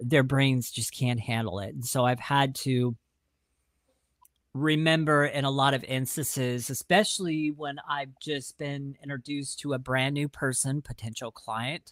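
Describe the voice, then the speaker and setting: A man with an American accent talks at a fairly slow pace in a normal speaking voice, pitched fairly high. His intonation stays fairly even, and the recording is very clean with a silent background. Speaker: podcast co-host. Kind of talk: casual chat.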